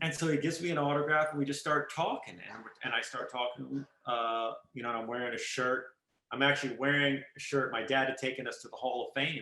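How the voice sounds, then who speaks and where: A man speaks at a fairly quick pace with a fairly high pitch. His intonation stays fairly even. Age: 50s. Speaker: photographer. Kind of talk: interview. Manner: loud.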